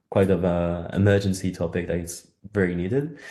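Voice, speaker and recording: A man speaks with a French accent at a moderate pace. His tone is dark and mellow. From France. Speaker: campaign organiser. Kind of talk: webinar presentation. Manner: halting.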